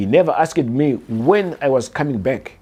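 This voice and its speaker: A man talks with a southern African accent. His pitch varies in an ordinary way. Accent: deep southern African. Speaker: artist and vlogger. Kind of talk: personal storytelling. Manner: hesitant, many fillers.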